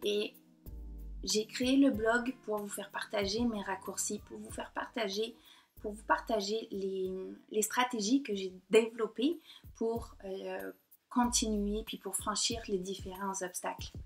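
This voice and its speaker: Talking at a very slow pace, a woman with a fairly high pitch uses ordinary pitch variation, long, frequent pauses and big swings in loudness. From southern France, Côte d'Azur. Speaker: painter and blogger. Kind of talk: personal vlog monologue. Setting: talking to computer camera. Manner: hesitant, many fillers.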